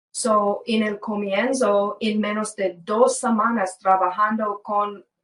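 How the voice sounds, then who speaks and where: Fairly high in pitch, a woman talks at a very slow pace with monotone, flat intonation. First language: English (speaking Spanish). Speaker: former government case worker, whistleblower. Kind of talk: interview. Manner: halting.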